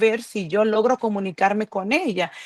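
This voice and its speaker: In a normal speaking voice, a woman talks at a fairly slow pace with a fairly high pitch, ordinary pitch variation, and a dry, close sound with no echo. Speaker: churchgoer giving testimony. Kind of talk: testimony. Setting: video call.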